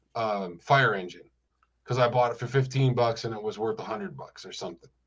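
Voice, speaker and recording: A man at a medium pitch talks at a fairly quick pace, somewhat breathy, with big swings in loudness. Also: ordinary pitch variation. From US Northeast (Rochester, New York). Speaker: music store owner. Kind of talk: casual chat.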